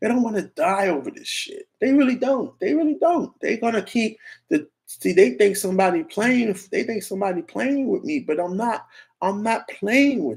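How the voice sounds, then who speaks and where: Loud and animated, a man with an American accent speaks at an extremely high pitch. He keeps a moderate pace while his pitch swings very widely. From New York. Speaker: YouTube streamer. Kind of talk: livestream rant.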